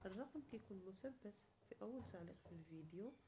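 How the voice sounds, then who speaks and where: Over noticeable background noise, a woman talks at a medium pitch with a Moroccan accent. Her intonation is lively. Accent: Moroccan Darija. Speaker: cooking YouTuber. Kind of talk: cooking tutorial.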